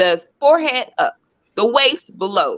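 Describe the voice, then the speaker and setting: A woman's high, bright, sharp voice with an American accent and very wide pitch swings. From Florida. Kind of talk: casual discussion.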